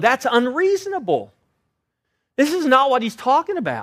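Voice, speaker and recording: Loud and with very wide pitch swings, a man speaks. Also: very clean recording, silent background. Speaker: pastor. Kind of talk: sermon. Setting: church.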